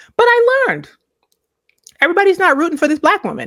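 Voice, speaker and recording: A woman with an American accent speaks very fast, her pitch extremely high and her tone bright and sharp. She sounds animated, with lively intonation. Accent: Virgin Islands accent, switches to it here. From US Virgin Islands. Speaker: podcast host. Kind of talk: casual commentary monologue.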